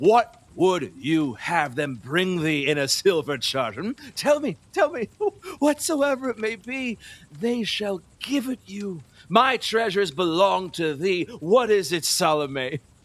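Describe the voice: A man's put-on character voice, high-pitched and fairly bright, slow in pace with lively intonation.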